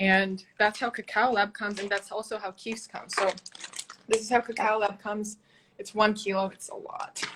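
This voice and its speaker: A woman's fairly high voice with big swings in loudness. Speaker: cacao ceremony facilitator and live-stream host. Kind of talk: casual live-stream Q&A. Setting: video live stream. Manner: fast; animated.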